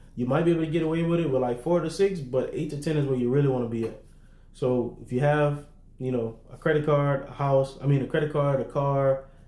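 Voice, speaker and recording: This man has a dark, mellow tone at medium pitch and speaks very fast with fairly even intonation. Room echo is audible around him. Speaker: business funding and credit coach. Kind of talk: livestream tutorial to online group. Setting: livestream in online group. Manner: casual, conversational.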